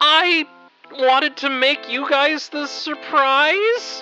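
Faint music plays in the background as a high-pitched, put-on character voice speaks at a very slow pace. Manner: sheepish.

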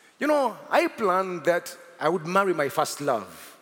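Against noticeable background noise, a man speaks at a moderate pace in an animated tone with very wide pitch swings. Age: 40s. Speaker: pastor. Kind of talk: sermon. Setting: church.

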